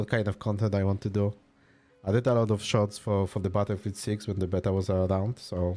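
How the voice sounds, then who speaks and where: Delivered at a very fast pace, the voice carries a Polish accent. Its tone is dark and mellow, its intonation monotone and flat. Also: man. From Poland. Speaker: video game streamer. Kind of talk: casual live-stream chat. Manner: relaxed, casual.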